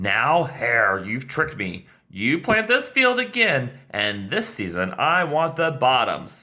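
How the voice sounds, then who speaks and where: A put-on character voice at a low-to-middle pitch, fairly slow, with hardly any pauses and very wide pitch swings. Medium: read story. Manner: slow, grumbling.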